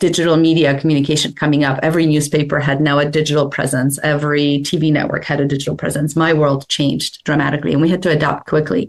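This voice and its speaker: A woman's very deep, low voice with a slight Polish accent, very fast with hardly any pauses, in a monotone, flat intonation at very even loudness. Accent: slight Polish accent, comes out in some words. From Poland. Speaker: publicist. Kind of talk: interview.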